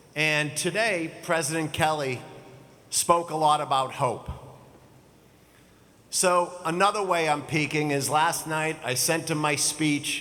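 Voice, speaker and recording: Fairly slow and broken by long, frequent pauses, a man's fairly high voice carries fairly even intonation amid audible room echo. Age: 60s. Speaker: commencement speaker, business executive. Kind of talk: commencement speech. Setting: stage with audience.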